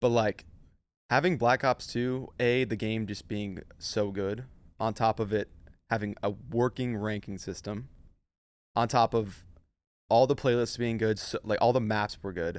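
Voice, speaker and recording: A man speaks at a fairly slow pace with fairly even intonation and long, frequent pauses. His pitch is medium, and the recording is very clean with a silent background. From US West Coast, San Diego area, California. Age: 20s. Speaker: professional esports player. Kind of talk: casual chat.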